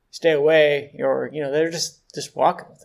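This man has an American accent and an unremarkable speaking voice. He speaks at a moderate pace. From Pittsburgh, Pennsylvania. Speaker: podcast co-host. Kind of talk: casual chat, news banter. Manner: joking, dry humor.

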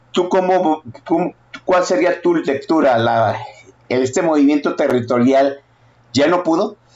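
In an animated tone, a man speaks at a moderate pace with a fairly high pitch. His pitch variation is ordinary. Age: 50s. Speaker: political podcast host. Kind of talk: casual political talk.

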